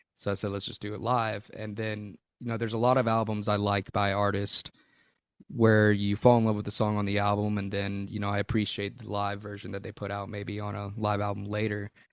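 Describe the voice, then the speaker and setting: A man talks with a Southern US accent at a fairly low pitch. The recording is very clean, with a silent background. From Louisiana, USA. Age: 20s. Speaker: blues-rock musician. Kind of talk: interview answer.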